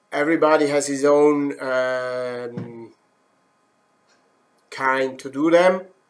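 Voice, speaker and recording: A man's fairly high voice in a Swiss German accent, very slow, with long, frequent pauses and fairly even intonation. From German-speaking Switzerland. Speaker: woodturning instructor. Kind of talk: live demo. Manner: halting, many fillers.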